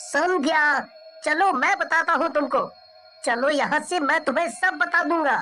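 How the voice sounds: Using a cartoonish character voice, a man speaks at a fairly slow pace.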